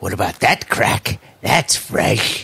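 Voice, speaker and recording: A man puts on a raspy character voice. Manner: crude, gruff.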